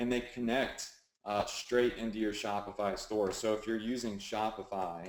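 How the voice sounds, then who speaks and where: A man with a Southern US accent speaks at a moderate pace. His fairly low voice stays monotone, with flat intonation. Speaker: online marketing coach. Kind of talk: webinar tutorial. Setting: live webinar with screen share. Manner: casual, filler-heavy.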